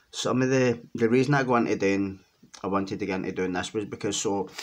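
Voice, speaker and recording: A man with a Glaswegian accent speaks at a fairly low pitch with ordinary pitch variation. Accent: Glaswegian Scottish. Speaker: ex-offender and criminology writer. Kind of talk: casual monologue to camera. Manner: hesitant, many fillers.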